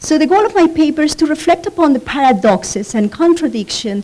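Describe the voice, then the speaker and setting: Over noticeable background noise, a woman with a Spanish accent speaks with very wide pitch swings. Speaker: professor. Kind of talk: conference presentation. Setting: conference panel. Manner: reading from notes, frequent fillers.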